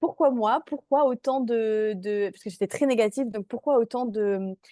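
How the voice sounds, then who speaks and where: With a fairly high pitch, ordinary pitch variation and a dark, mellow tone, a woman is heard in a dry, close recording with no echo. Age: 20s. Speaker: mindset coach. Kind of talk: online workshop presentation.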